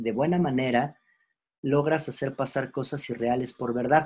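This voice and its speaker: A man with a fairly high, somewhat breathy voice speaks at a fairly slow pace. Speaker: philosophy teacher. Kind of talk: lecture. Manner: hesitant, many fillers; casual, conversational.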